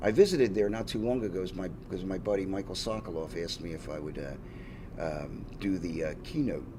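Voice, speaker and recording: Fairly quick, hardly pausing speech in a dark, mellow tone with a Philadelphia accent, ordinary pitch variation and audible room echo. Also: man, very deep, low pitch for a man. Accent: Philadelphia-area American. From Pennsylvania, Levittown area (US). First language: Finnish. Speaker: rock drummer. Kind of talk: casual interview. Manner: halting, many fillers and restarts.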